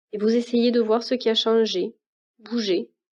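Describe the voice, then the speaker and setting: A woman's fairly high, dark and mellow voice, calm in tone, monotone and flat, at a fairly slow pace. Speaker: meditation guide. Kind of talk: guided meditation. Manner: slow, calm.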